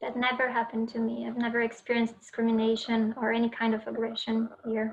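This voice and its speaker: In a Portuguese accent, a woman speaks very fast with a fairly high pitch and monotone, flat intonation over noticeable background noise. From Brazil. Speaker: college student. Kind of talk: panel discussion.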